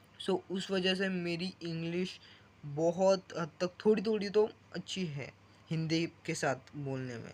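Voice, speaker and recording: A man talks in a high voice with a Marathi accent. His pitch varies in an ordinary way. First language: Marathi (speaking Hindi). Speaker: vlogger. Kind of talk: casual vlog monologue. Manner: halting, self-correcting.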